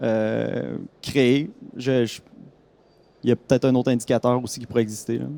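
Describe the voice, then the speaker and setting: Using a Quebec accent, a man speaks at a moderate pace and medium pitch with fairly even intonation, a dark, mellow tone and long, frequent pauses. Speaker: audience member. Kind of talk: audience question.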